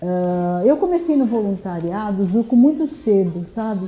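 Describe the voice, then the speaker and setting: A woman speaking very slowly with lively intonation. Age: 70s. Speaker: political candidate and psychoanalyst. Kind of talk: interview.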